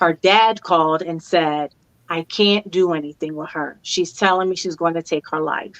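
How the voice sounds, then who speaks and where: With a dry, close sound and no echo, a woman speaks at a moderate pace and a fairly low pitch. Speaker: grief and life coach. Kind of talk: interview conversation. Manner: animated.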